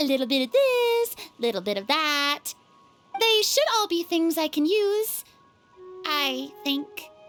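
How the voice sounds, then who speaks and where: Using a squeaky, put-on character voice pitched high, a woman speaks at a fairly slow pace with very wide pitch swings and long, frequent pauses over music in the background. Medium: video game. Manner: animated, hesitant fillers.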